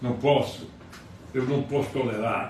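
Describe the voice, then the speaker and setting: Noticeable background noise and audible room echo around a man talking fairly slowly. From Brazil, Ceará interior. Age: 80s+. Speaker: lawyer and political commentator. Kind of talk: political commentary monologue. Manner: heated, agitated.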